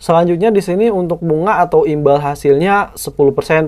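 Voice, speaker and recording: An ordinary speaking voice, with ordinary pitch variation, keeps to a moderate pace. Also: man. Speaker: YouTuber reviewing finance apps. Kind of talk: app tutorial screen walkthrough. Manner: casual, conversational.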